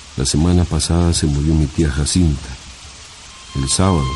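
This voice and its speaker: With music behind them, the speaker's delivery holds a moderate pace. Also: man. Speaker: radio narrator. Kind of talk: short story reading for radio.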